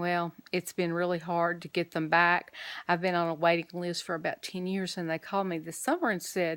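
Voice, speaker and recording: A woman with an Alabama accent in a dry, close sound with no echo. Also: very clean recording, silent background. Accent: Southern US (Alabama). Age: 60s. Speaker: vlogger and caregiver. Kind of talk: casual vlog update.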